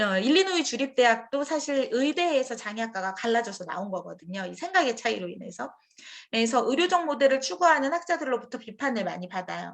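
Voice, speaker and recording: Very wide pitch swings from a woman with a high voice, delivered fairly quickly. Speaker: professor. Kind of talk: lecture. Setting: forum with audience. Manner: fast.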